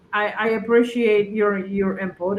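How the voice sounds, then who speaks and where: Over noticeable background noise, a woman with a Polish accent speaks at a moderate pace, with fairly high pitch and a monotone, flat intonation. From Poland. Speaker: political livestream host. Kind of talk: casual chat. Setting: livestream.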